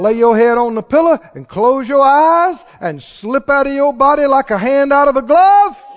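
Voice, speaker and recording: Over noticeable background noise, a man with an extremely high pitch talks at a moderate pace with hardly any pauses, big swings in loudness, and ordinary pitch variation. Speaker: preacher. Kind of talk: sermon with congregation. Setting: church with congregation. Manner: animated; loud, fervent, exhorting the crowd in praise.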